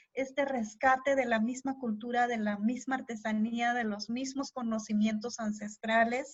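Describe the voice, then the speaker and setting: At a fairly slow pace with hardly any pauses, a woman speaks in a flat monotone at a fairly high pitch. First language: Tének (Huastec) (speaking Spanish). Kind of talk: interview. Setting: live stream.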